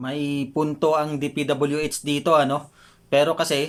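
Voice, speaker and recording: This man speaks with a fairly high pitch. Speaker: YouTube political commentator. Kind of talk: online video commentary. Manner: halting, frequent fillers.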